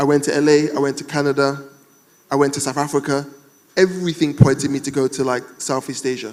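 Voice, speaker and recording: The voice has a British accent. The pace is moderate. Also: man. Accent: UK. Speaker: entrepreneur, panel speaker. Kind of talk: panel discussion. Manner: animated.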